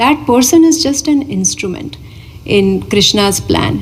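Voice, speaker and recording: Over noticeable background noise, the speech moves at a fairly slow pace with lively intonation. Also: woman. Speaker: spiritual teacher. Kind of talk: Q&A after a spiritual discourse.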